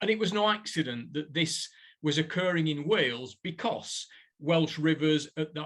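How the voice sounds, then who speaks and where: This man has a northern English accent and a fairly high pitch. He talks at a fairly slow pace with ordinary pitch variation. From northern England, Burnley, Lancashire. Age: 60s. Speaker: professor. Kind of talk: lecture.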